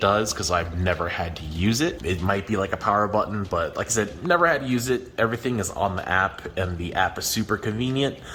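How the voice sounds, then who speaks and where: There is noticeable background noise behind this man. His fairly low voice shows ordinary pitch variation. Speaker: aquarium hobbyist YouTuber. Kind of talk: product review. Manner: casual, many fillers.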